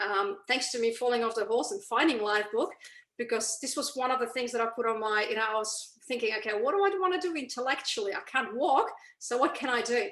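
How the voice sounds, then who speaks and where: A woman talks at a very fast pace. Her pitch is high and her intonation lively. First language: not English. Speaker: mindset coach and author. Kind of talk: interview. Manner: hesitant, many fillers.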